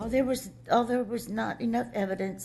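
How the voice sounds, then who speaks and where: With vocal fry, a woman talks at a fairly quick pace. Her pitch swings very widely. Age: 60s. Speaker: abuse victim, dependent adult. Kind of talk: testimony. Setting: public board meeting. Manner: halting, with repetitions and restarts.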